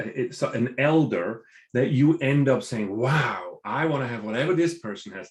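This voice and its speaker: Here is a somewhat breathy man of medium pitch at a moderate pace. His intonation is lively. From Switzerland. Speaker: business professor and entrepreneur. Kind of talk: podcast interview. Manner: repeats words when starting sentences.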